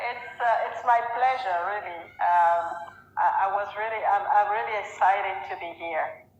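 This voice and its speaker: Over noticeable background noise and audible room echo, a woman with a French accent speaks at a medium pitch and a moderate pace, with lively intonation and big swings in loudness. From Gabon and France. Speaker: business executive. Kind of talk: interview. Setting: live video stream. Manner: halting, many repetitions.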